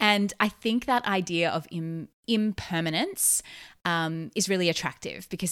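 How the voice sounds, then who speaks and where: A woman with an Australian accent, fairly low in pitch, bright and sharp in tone, ordinary in pitch variation and fairly slow in pace, on a very clean recording with a silent background. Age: 30s. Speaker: podcast host, therapist and business coach. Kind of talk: solo podcast monologue. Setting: recorded while travelling abroad.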